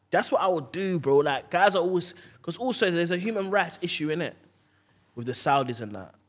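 Speaking at a very fast pace, a man with a London accent uses a high pitch and very wide pitch swings. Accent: London multicultural English. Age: 20s. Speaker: stand-up comedian. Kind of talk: casual chat.

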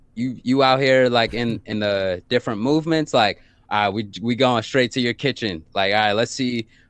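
A normal speaking voice with an American accent comes at a moderate pace. The intonation is fairly even. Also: man. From Brooklyn, New York. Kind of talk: casual group chat.

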